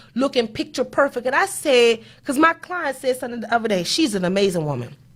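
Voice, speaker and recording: A woman with a high pitch speaks in an animated tone. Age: 30s. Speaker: accountant and show host. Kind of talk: motivational talk.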